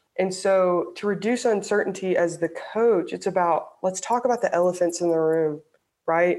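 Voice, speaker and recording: An ordinary speaking voice from a woman with an American accent, medium pitch, moderate pace, ordinary pitch variation and very even loudness, in a very clean recording with a silent background. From US South, Alabama. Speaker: sports psychology professor. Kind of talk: interview.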